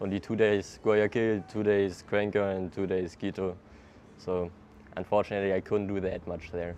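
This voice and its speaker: A man with a German accent talks at a fairly low pitch. His moderate pace comes with monotone, flat intonation. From Germany, Hamburg. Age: 20s. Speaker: traveler. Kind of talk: casual interview. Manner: hesitant, casual with fillers.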